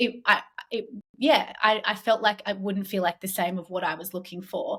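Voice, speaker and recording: With an Australian accent, the speaker talks at a moderate pace with ordinary pitch variation and big swings in loudness. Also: woman, medium pitch for a woman. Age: 30s. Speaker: entrepreneur, company founder. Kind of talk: podcast interview.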